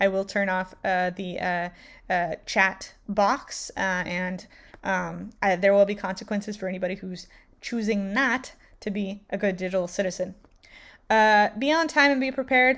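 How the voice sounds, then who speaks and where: This woman's voice sits at a medium pitch with ordinary pitch variation, on a very clean recording with a silent background. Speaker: teacher. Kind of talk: tutorial. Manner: fast; many filler words.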